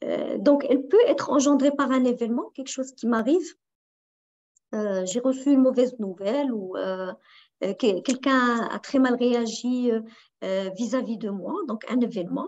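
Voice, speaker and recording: Pausing long and often, a woman with a high pitch speaks at a fairly slow pace with ordinary pitch variation. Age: 40s. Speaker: life coach and trainer; life coach, trainer. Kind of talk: online workshop talk. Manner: halting. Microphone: video call.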